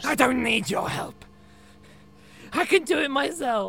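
Doing a put-on character voice, a man speaks at an extremely high pitch with lively intonation, raised and projected, at a moderate pace over clear background noise. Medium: audio drama.

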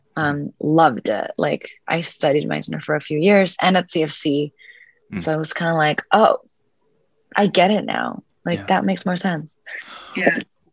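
A woman speaks at a fairly slow pace in a very deep, low pitch with vocal fry and lively intonation, recorded with a dry, close sound with no echo over a quiet background. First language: Spanish. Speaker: actress. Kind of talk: casual interview chat. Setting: video call.

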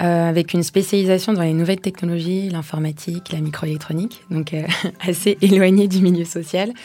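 The woman has an unremarkable speaking voice, fairly low in pitch. She moves at a fairly quick pace with fairly even intonation. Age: 30s. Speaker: social entrepreneur. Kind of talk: interview.

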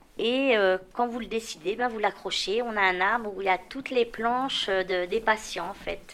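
A woman with an unremarkable speaking voice and a fairly high pitch speaks at a moderate pace with fairly even intonation. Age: 50s. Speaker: patient recovering from alcoholism. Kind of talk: testimony.

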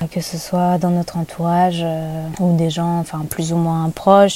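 A woman with a fairly low pitch speaks fairly slowly in a monotone, flat intonation. Noticeable background noise runs underneath. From Paris region, France. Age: 30s. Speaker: photographer. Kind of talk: casual interview.

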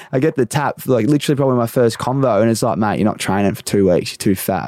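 Speaking very fast, a man with an Australian accent uses a medium pitch. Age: 20s. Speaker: podcast host. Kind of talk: casual interview chat.

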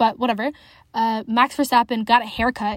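Animated and fairly quick, a woman speaks with a Western Canadian accent and a fairly high pitch. The recording is very clean, with a silent background. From Canada, Alberta (city-raised). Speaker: podcast host, motorsport fan. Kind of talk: solo casual chat.

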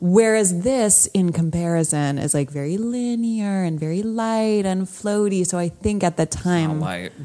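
A woman at medium pitch and moderate pace with hardly any pauses, noticeable background noise behind her. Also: ordinary pitch variation. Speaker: podcast co-host. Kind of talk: casual chat.

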